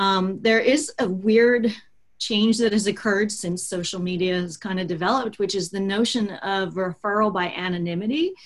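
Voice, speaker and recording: A somewhat breathy woman with an American accent, at medium pitch and a moderate pace, with ordinary pitch variation. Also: very clean recording, silent background. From US, Baltimore, Maryland. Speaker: digital marketing consultant, business owner. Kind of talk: interview.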